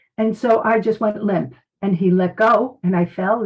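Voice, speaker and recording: Somewhat breathy, a woman speaks with an American accent and ordinary pitch variation. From US Northeast, Brooklyn, New York. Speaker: medical intuitive and psychic detective, former nurse. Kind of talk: interview testimony.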